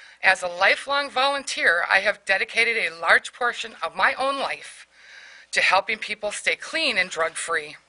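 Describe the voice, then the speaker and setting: Her bright, sharp tone sits at a medium pitch as the woman speaks at a moderate pace with very wide pitch swings. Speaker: war veteran. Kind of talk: legislative hearing testimony.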